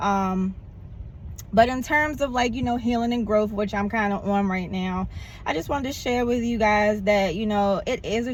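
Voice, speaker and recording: At a moderate pace, a somewhat breathy voice with ordinary pitch variation is heard in a room with audible echo. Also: woman. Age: 40s. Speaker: vlogger. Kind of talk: casual vlog monologue. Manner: animated.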